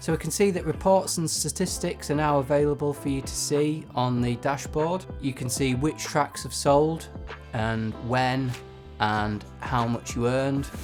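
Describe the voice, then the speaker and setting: A man with a medium-pitched voice speaks over background music. His intonation is lively. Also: fairly slow pace. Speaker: music composer and YouTuber. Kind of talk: casual tutorial talk to camera.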